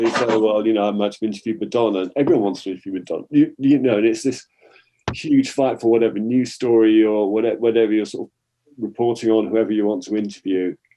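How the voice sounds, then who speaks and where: A man talks at a very fast pace. His voice sits at a medium pitch. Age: 60s. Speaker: retired journalist. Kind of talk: interview.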